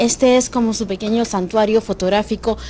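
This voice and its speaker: A woman with a normal speaking voice and a fairly high pitch, at a moderate pace with fairly even intonation. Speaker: video reporter. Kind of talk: TV news report narration.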